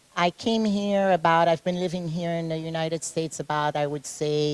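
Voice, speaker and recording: A woman with a Caribbean accent, fairly low in pitch, with fairly even intonation. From Haiti. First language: French. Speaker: fitness competitor and personal trainer. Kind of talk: interview. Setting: gym.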